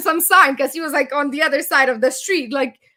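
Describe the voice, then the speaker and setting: A raised, projected voice comes through with a bright, sharp, animated tone. The recording is very clean with a silent background. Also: woman. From Romania. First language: Romanian. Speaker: business founder. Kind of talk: interview, personal story. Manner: fast.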